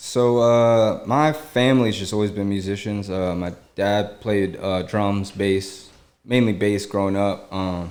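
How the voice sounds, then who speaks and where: A plain, everyday voice from a man with an American accent, fairly low in pitch, at a fairly slow pace with fairly even intonation. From US Mid-Atlantic, Germantown, Maryland. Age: 30s. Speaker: rapper and studio owner. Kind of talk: casual chat. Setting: studio.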